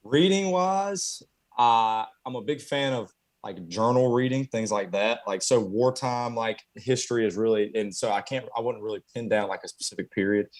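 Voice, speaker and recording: Speaking at a moderate pace, a man with a Southern US accent uses lively intonation at a medium pitch. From US South, Conway, South Carolina. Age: 20s. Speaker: carpenter. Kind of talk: interview. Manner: halting, many fillers.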